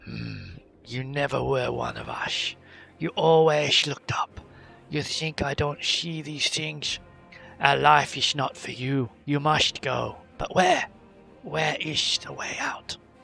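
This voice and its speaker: A man's put-on character voice, fairly high in pitch and fairly slow, with faint music in the background. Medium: actual play. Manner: gruff, terse.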